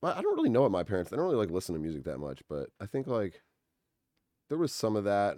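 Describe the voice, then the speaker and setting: Speaking at a very fast pace with an American accent, a man uses a fairly low pitch, a dark, mellow tone and very wide pitch swings, in a dry, close sound with no echo. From Massachusetts (Winchester, near Boston). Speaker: musician and composer. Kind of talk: casual chat.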